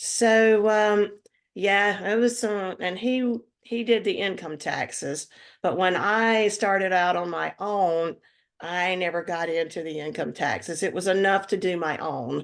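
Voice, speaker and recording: A woman talks fairly slowly with a North Carolina accent. Her pitch varies in an ordinary way, and the background is quiet. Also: medium pitch for a woman. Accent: Southern American (North Carolina). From US South, North Carolina (Lexington). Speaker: retired accountant, writer and musician. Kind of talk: interview. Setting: podcast interview. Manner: halting, many fillers.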